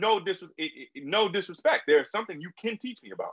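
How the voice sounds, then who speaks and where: Very wide pitch swings run through this man's speech. He talks very fast. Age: 20s. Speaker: podcast host and author. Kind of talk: casual chat.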